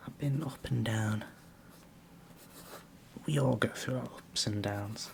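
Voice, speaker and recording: A gentle tone at a very slow pace, with noticeable background noise. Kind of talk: ASMR whispered questions, rambling casual talk to camera. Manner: soft-spoken, gentle, rambling, conversational.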